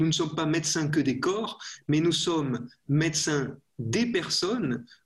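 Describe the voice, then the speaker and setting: Very slowly, a man speaks in a fairly high pitch with lively intonation. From France. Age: young. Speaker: priest, physician and professor. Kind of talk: interview about faith and medicine.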